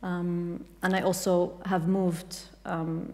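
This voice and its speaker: The speaker is a woman with an Arabic accent. Her pitch is fairly low. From Kuwait. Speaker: writer and translator. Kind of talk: panel discussion. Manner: halting, many fillers.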